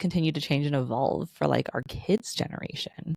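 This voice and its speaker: With vocal fry and lively intonation, a woman talks at a moderate pace in a dry, close sound with no echo. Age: 30s. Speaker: podcast host. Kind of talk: casual chat.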